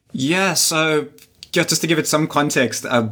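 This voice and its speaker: A man's voice amid noticeable background noise. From South Africa, Durban. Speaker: digital marketer and sports event organiser. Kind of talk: interview.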